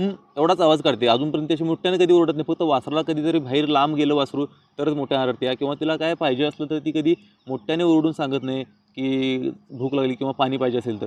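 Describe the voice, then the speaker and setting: Fairly high in pitch, this man's voice keeps a fairly even intonation. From Chandgad area, Kolhapur district, Maharashtra. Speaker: village vlogger and farmer. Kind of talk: casual vlog talk.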